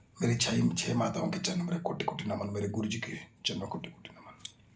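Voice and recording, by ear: A man whispers in a hoarse, put-on character voice. His pace is moderate.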